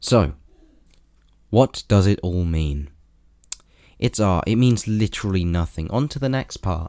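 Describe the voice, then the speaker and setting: In a British accent, a man speaks at a fairly slow pace. His pitch varies in an ordinary way. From Britain. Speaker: video reviewer. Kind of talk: scripted commentary review.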